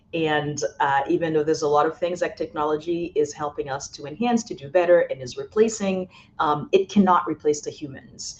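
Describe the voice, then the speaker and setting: This woman's fairly low voice moves with ordinary pitch variation while her loudness swings widely. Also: fairly quick pace. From Haiti, moved to Boston at twelve. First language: French and Haitian Creole. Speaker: college president. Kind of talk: podcast interview. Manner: frequent filler words, hesitant.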